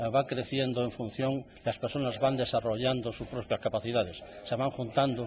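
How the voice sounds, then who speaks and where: This man's voice is medium in pitch and somewhat breathy. He talks at a moderate pace. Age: 60s. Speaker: novelist. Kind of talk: radio interview. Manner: halting, many fillers.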